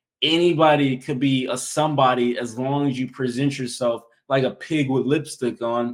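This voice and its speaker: Here a man speaks with a plain, everyday voice at medium pitch. His pace is moderate and his intonation fairly even. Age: 20s. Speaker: active-duty soldier and content creator. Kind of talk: casual chat.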